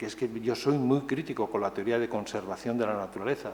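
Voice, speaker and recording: A man speaks at a medium pitch. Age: 60s. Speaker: author and conference speaker. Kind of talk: conference talk. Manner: hesitant, many fillers and repetitions.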